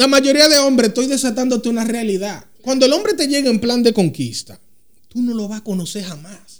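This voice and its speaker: Lively intonation at a moderate pace. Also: man. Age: 30s. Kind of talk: casual chat.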